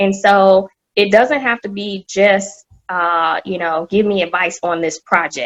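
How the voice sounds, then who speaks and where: A woman with an American accent at a medium pitch and fairly slow pace, fairly even intonation, a dry, close sound with no echo, and music in the background. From US South, Atlanta. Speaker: corporate executive. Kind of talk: podcast interview.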